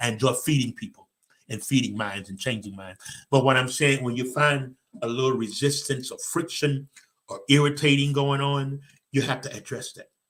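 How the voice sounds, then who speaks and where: A man speaks with a fairly high pitch and ordinary pitch variation. His loudness swings widely. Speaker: motivational speaker and show host. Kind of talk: motivational talk, live stream. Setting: live stream with online comments. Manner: fast; animated.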